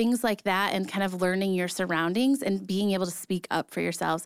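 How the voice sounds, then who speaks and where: In a very clean recording with a silent background and a dry, close sound with no echo, a woman with an unremarkable speaking voice talks fairly quickly at a medium pitch. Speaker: podcast co-host. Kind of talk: casual chat.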